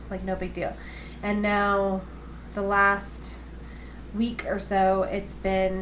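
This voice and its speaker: A woman mumbles amid audible room echo. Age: 20s. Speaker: video blogger, cancer patient. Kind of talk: casual video diary. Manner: fast; mumbling. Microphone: built-in camera microphone.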